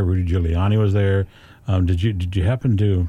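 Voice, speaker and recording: A man with a dark, mellow tone speaks at a fairly quick pace. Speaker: radio host. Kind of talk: radio DJ patter, upbeat broadcast host delivering show intros and ad reads. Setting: radio studio. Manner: warm, friendly, polished, upbeat.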